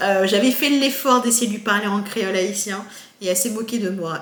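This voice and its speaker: A woman of medium pitch speaks at a moderate pace with ordinary pitch variation. Audible room echo and noticeable background noise surround her voice. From France, Haitian parents. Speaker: YouTuber and researcher. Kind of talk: casual vlog monologue. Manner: hesitant, many fillers.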